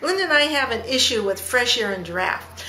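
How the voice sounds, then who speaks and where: Animated and raised to project, a woman's high-pitched voice moves at a moderate pace amid noticeable background noise and audible room echo. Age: 60s. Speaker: travel agent. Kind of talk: casual chat.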